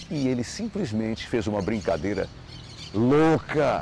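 The recording sounds dry with no echo, and there is light background noise. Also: man. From Ceará, northeast Brazil. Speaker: radio presenter. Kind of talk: recorded video testimony. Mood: warm, nostalgic, amused. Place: garden.

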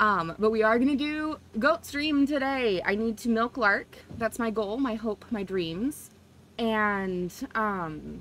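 A woman speaks at a very slow pace. The sound is dry and echo-free, with light background noise. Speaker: livestreamer. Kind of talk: casual stream chat. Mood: cheerful, giggly. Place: home room. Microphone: headset.

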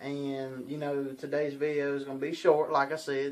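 A man speaking at a fairly slow pace. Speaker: outdoor channel vlogger. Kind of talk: casual vlog chat. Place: home room.

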